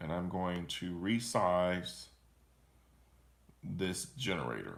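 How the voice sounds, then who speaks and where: Through audible room echo, a man speaks very slowly with a very deep, low pitch. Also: ordinary pitch variation. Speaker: teacher. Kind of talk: tutorial. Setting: live stream screen recording.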